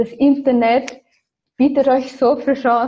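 The woman's voice is somewhat breathy. She speaks at a fairly slow pace. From Austria and Ireland. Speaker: copywriter and agency founder. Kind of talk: interview.

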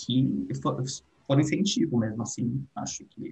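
A man's voice with vocal fry, at a fairly slow pace. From Brazil, São Paulo state interior. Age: 20s. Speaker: international relations graduate and art educator. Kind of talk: casual interview chat.

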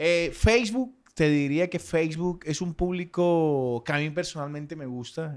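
The recording is very clean with a silent background, carrying a normal speaking voice. It goes at a fairly slow pace with ordinary pitch variation. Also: man, fairly high pitch for a man. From Colombian Caribbean coast, Sucre. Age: 30s. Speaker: social media influencer. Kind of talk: casual chat.

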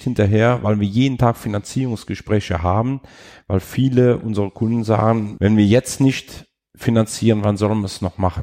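A man speaks with a fairly low pitch and a dark, mellow tone. Pitch variation is ordinary, and the sound is dry and close with no echo. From Rhineland-Palatinate, Ahr/Eifel region, Germany. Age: 50s. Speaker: bank business client advisor. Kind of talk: casual interview.

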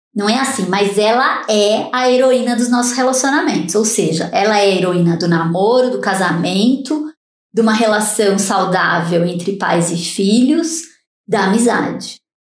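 Audible room echo surrounds a woman speaking at a moderate pace. Her intonation is lively and her loudness very even. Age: 50s. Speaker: neuroscientist. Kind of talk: interview.

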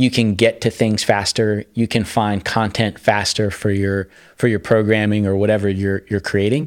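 A man with an unremarkable speaking voice and a fairly low pitch talks at a moderate pace on a very clean recording with a silent background. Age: 40s. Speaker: sales and marketing executive. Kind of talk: interview.

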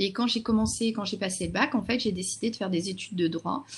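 The woman's voice sits at medium pitch and is somewhat breathy. Her pitch varies in an ordinary way. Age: 40s. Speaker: social media consultant and trainer. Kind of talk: interview.

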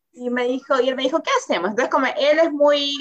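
A woman is speaking. Her pace is very fast. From Peru. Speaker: interview guest, new mother. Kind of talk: casual interview. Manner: hesitant, many repetitions and fillers.

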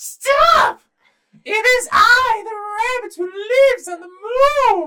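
An extremely high-pitched, put-on character voice. It moves at a very slow pace. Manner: proud, declaring.

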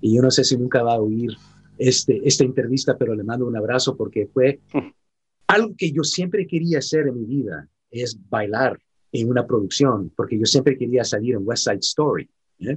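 A man talks at a medium pitch, his voice somewhat breathy. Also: ordinary pitch variation, moderate pace. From San Francisco, California, US. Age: 50s. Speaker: actor. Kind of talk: interview. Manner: halting.

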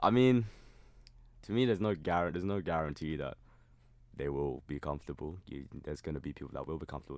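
Very deep and low in pitch with vocal fry, a man talks at a very fast pace with lively intonation and long, frequent pauses. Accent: southern English. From southern England (Surrey). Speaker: university student. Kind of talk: casual chat. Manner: halting.

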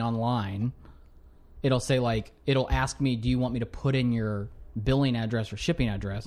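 A man's ordinary speaking voice, medium in pitch, at a fairly quick pace with ordinary pitch variation. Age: 20s. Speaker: podcast guest, new father. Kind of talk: casual chat.

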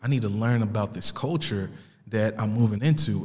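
Speaking at a moderate pace, a man with an American accent has a medium pitch, ordinary pitch variation and a somewhat breathy sound. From Italy and US. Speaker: podcast host. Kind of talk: casual monologue introducing podcast. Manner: casual, conversational.

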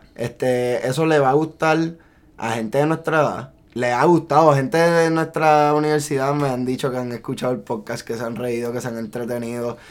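A man with a Puerto Rican accent, fairly high pitch, ordinary pitch variation and a moderate pace. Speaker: podcast co-host. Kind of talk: casual chat.

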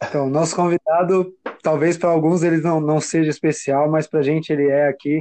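A man's fairly high voice, fairly quick and monotone, with very even loudness throughout. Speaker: podcast co-host. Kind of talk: casual chat.

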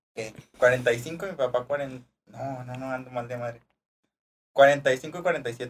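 A man with medium pitch and a somewhat breathy voice speaks at a very slow pace, with long, frequent pauses, big swings in loudness, and fairly even intonation. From Durango, Mexico (rural Cuencamé). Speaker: podcast co-host and seminary former student. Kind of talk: casual chat.

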